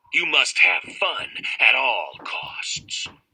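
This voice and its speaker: A man's put-on character voice, creaky and extremely high in pitch. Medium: read story. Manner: wheedling, indulgent.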